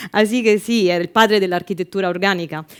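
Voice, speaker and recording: This speaker has an Italian accent, a fairly quick pace, and ordinary pitch variation. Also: woman. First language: Italian (speaking Spanish). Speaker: sustainability manager. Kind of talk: event presentation.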